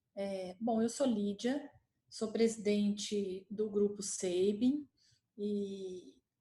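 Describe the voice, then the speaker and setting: In a Minas Gerais accent, a woman speaks at a very slow pace with a medium pitch, fairly even intonation, a somewhat breathy quality and a dark, mellow tone. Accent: Minas Gerais accent, still noticeable. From Minas Gerais, Brazil. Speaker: healthcare company executive. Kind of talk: panel talk presentation.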